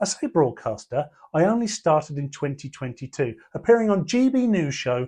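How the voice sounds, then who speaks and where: In a southern English accent, a man talks at a fairly high pitch with very wide pitch swings. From southern England (Portsmouth area). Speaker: comedian and columnist. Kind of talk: reading aloud of his own column.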